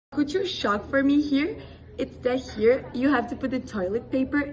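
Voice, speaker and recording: Over noticeable background noise, a woman speaks at a moderate pace in a high voice with ordinary pitch variation. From Brazil. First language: Portuguese. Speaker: exchange student. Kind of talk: casual interview.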